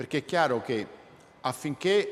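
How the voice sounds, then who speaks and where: A man speaking at a moderate pace. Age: 60s. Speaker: robotics professor. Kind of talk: public lecture. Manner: halting, with self-corrections.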